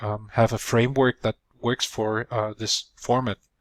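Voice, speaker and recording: A man with a non-native accent at a medium pitch, fairly even intonation, a dry, close sound with no echo, and a very clean recording over a silent background. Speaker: video producer. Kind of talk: tutorial. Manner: halting with fillers.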